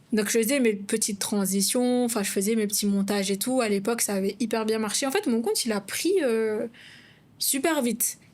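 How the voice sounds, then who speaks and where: In a very clean recording with a silent background, a woman with a fairly high pitch speaks at a moderate pace, her loudness very even and her intonation fairly even. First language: not French (speaking French). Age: 20s. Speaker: content creator and podcast co-host. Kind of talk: casual podcast conversation.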